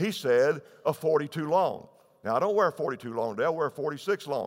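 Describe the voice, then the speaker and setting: The voice has vocal fry and very wide pitch swings at a moderate pace. The recording is very clean, with a silent background. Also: man. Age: 70s. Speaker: pastor. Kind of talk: sermon. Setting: church.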